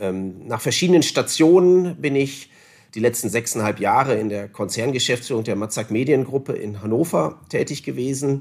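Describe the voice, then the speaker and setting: A man with a medium pitch speaks at a moderate pace using lively intonation. The recording is very clean, with a silent background. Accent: northern German. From northern Germany, Osnabrück area. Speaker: newspaper publishing executive. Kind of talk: interview. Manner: formal.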